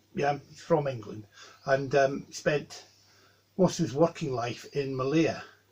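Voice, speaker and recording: This man's voice is somewhat breathy and medium in pitch. He speaks at a fairly slow pace. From Scotland, Dundee. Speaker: Wiccan high priest. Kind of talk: interview. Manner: measured, with frequent ums.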